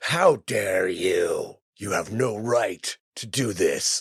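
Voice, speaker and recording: A man does a put-on character voice that sounds raspy. He speaks at a very slow pace. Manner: angry, indignant, yelling.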